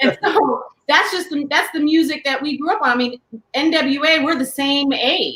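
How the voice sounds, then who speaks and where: In an American accent, a woman with a high pitch speaks at a moderate pace with ordinary pitch variation. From Southern California, San Diego. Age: 40s. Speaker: podcast co-host, doctor. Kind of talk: casual chat.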